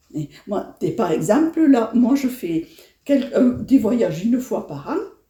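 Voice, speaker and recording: A woman's fairly high voice with a dark, mellow tone, vocal fry, very wide pitch swings and a fairly slow pace. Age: 70s. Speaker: elderly interviewee. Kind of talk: interview. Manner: halting.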